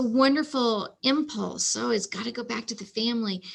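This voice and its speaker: A woman speaks at a high pitch with a bright, sharp tone and ordinary pitch variation. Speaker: archivist librarian. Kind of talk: presentation with Q&A. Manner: halting, many fillers.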